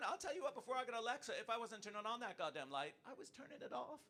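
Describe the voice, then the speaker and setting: A man with an American accent talks at a very fast pace in a raised, projected voice, his pitch extremely high and his tone bright and sharp. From United States. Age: 50s. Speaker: stand-up comedian. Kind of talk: stand-up. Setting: stage with audience. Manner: animated.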